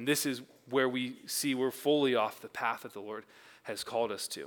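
A man with an American accent, recorded very cleanly against a silent background. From Oregon, US Pacific Northwest. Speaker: church staff member preaching. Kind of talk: sermon. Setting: church service with congregation. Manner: filler-heavy with frequent um and uh.

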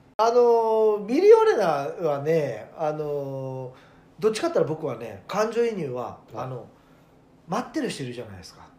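A man with a high voice speaks at a moderate pace, his pitch swinging very widely, with audible echo in the room. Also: big swings in loudness. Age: 40s. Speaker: radio personality. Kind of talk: casual chat.

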